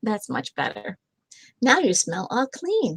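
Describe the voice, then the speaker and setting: A woman puts on a character voice at a fairly high pitch. She goes at a fairly slow pace. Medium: read story. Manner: cheerful, insistent.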